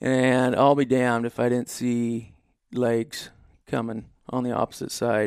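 Speaking with an Inland Northwest American accent, a man talks fairly slowly at a medium pitch with monotone, flat intonation. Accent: rural Inland Northwest American. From Idaho, small town on the Clearwater River. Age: 30s. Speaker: elk hunter. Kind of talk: casual interview. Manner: halting, many repeats and fillers.

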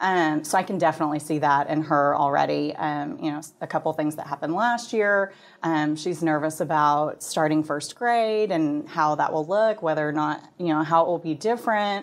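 A woman with an American accent speaks in a very deep, low voice at a moderate pace with ordinary pitch variation and hardly any pauses, on a very clean recording with a silent background. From Texas, Plano. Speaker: parenting blog team member. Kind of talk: interview.

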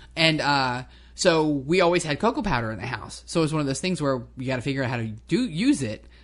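The speaker has an American accent and vocal fry. The tone is animated, with lively intonation. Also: woman. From New Jersey. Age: 50s. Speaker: co-host, hobby farmer. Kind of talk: casual chat. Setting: at home kitchen table.

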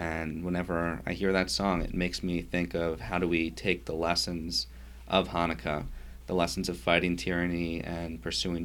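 Very deep and low, a man's voice with vocal fry and an American accent moves at a moderate pace with ordinary pitch variation. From New York (Yonkers). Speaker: rabbi. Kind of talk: interview.

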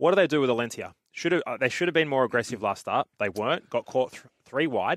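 A voice with an Australian accent, dry and close with no echo. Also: man, very clean recording, silent background. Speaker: racing analyst. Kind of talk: horse racing preview chat. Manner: conversational, quick.

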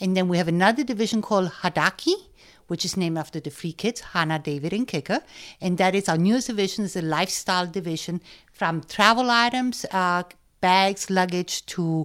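Over a silent background in a very clean recording, a woman talks at a fairly quick pace with a German accent. Her pitch is medium, with ordinary variation. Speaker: business owner and designer. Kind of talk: interview.

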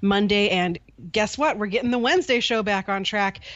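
A woman speaks in an ordinary speaking voice. Her pitch is medium, with ordinary variation. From US, Pittsburgh. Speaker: hockey podcaster. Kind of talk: casual chat.

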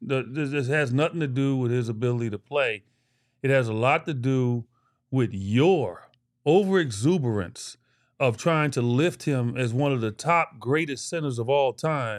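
Against a quiet background, a man with a medium-pitched voice sounds animated, speaking at a moderate pace with ordinary pitch variation. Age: 60s. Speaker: basketball analyst and co-host. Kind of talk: casual sports talk.

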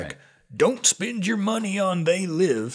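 Using a put-on character voice, a man speaks fairly slowly, pitched high, with lively intonation.

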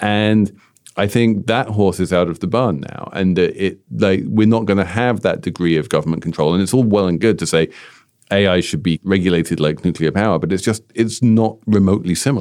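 A man with a British accent talks at a fairly quick pace in a fairly low pitch. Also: ordinary pitch variation. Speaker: podcast host. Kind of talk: casual business podcast discussion.

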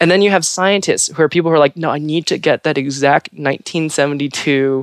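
Fairly quick, fairly even intonation, in an American accent. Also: woman, low pitch for a woman.

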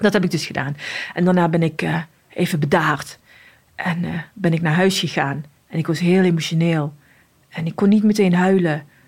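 A woman's somewhat breathy, fairly low voice at a moderate pace, with fairly even intonation and long, frequent pauses. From Morocco (Casablanca). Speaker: police officer. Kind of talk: interview testimony.

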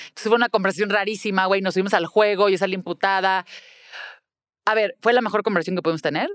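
A woman with a medium pitch talks, and the sound is dry and close, without any echo. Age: 40s. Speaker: public relations professional and mother. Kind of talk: interview.

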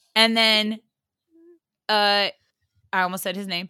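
In a dry, close sound with no echo, a woman speaks at a fairly high pitch with an animated tone. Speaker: podcast guest. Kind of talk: casual chat.

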